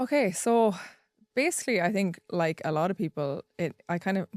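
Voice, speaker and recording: A woman talks in a strong Irish accent. The sound is dry and close, with no echo. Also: very clean recording, silent background. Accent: deep Irish country. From rural Ireland. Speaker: content creator. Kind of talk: podcast interview.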